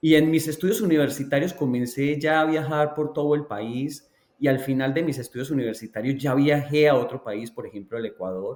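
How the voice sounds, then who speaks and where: A man with a Colombian accent, fairly high pitch and ordinary pitch variation, at a fairly quick pace with hardly any pauses. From Colombia, Antioquia (La Ceja). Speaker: education researcher. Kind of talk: interview.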